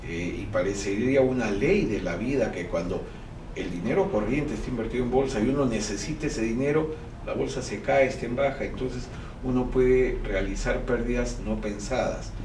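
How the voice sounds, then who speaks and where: Noticeable background noise fills the clip. Over it, a man keeps a moderate pace. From Peru. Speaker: banking executive and stock exchange board director. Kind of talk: interview. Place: office.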